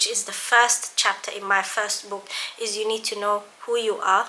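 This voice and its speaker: This woman's voice is fairly high. She talks at a moderate pace. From London. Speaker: biomedical scientist and YouTuber. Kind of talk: casual vlog talk. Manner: conversational, some stammering.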